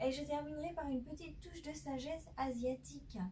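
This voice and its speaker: Loud and high-pitched, a woman speaks at a moderate pace with a dark, mellow tone and fairly even intonation, with audible room echo around her. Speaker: tarot card reader. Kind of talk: tarot reading monologue. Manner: hesitant, many filler sounds; speaking loudly.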